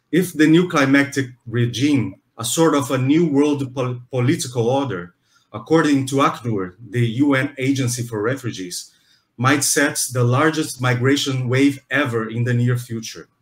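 With a Brazilian accent, a man speaks at a moderate pace and medium pitch, somewhat breathy, with ordinary pitch variation. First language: Portuguese. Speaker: museum interviewer. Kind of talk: interview. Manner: halting.

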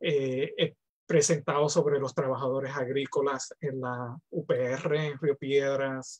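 A man speaks very slowly in a flat monotone, his pitch fairly high for a man. His voice is somewhat breathy against a quiet background. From Puerto Rico. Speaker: professor. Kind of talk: panel discussion. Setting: video call. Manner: halting. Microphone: video call.

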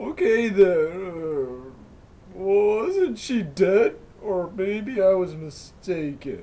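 A man's high, put-on character voice at a very slow pace. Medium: read story. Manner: hesitant, questioning.

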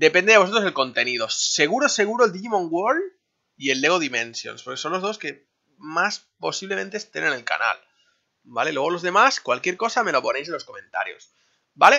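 A man's voice is high and moves fairly quickly. Very wide swings mark his pitch. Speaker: gaming youtuber. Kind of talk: vlog monologue. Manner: casual, filler-heavy.

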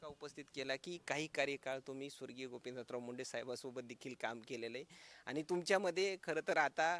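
A man with a plain, everyday voice speaks at a fairly high pitch, with ordinary pitch variation and big swings in loudness. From Maharashtra, Beed district. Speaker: local news reporter. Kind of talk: news interview.

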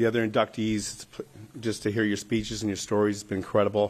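A man speaks at a fairly quick pace. His fairly low voice stays monotone, with flat intonation. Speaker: retired hockey player, hall of fame inductee. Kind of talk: acceptance speech. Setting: stage with audience. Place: hall. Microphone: podium.

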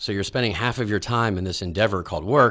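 Speaking very fast, a man with an American accent talks. His pitch is fairly low. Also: quiet background. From Texas, Dallas. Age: 40s. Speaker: executive search company CEO; interview guest. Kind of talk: interview. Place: studio. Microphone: studio mic.

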